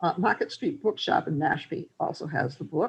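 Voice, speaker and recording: With a Massachusetts accent, the speaker talks at a fairly quick pace. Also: woman. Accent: Fall River accent, close to Rhode Island. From Fall River, Massachusetts. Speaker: translator. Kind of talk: presentation with Q&A. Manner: halting.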